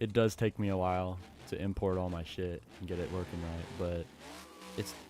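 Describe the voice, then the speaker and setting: Very deep and low in pitch, a man speaks at a moderate pace in a dark, mellow tone with ordinary pitch variation. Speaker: gaming streamer. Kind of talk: casual live-stream chat. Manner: stuttering; halting.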